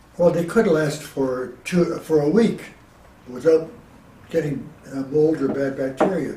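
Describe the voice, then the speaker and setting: Fairly high in pitch with ordinary pitch variation, a man with a Canadian accent speaks at a fairly slow pace with long, frequent pauses, audible room echo and noticeable background noise. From Ontario, Canada. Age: 80s+. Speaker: inventor. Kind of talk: interview. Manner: halting.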